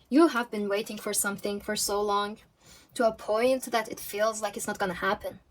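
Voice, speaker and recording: Over music in the background, a woman with a fairly high pitch speaks at a moderate pace with ordinary pitch variation. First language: not English. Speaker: tarot reader. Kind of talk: pick-a-card tarot reading. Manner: halting, self-correcting.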